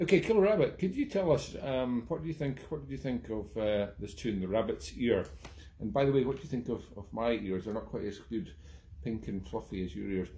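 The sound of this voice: At a fairly quick pace, a man speaks at medium pitch with a dark, mellow tone and ordinary pitch variation.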